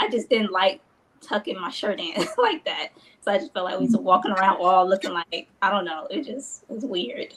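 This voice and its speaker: The speaker talks fairly quickly, with very wide pitch swings and big jumps in loudness. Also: woman, medium pitch for a woman. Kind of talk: casual chat. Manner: speaks higher than natural voice; halting.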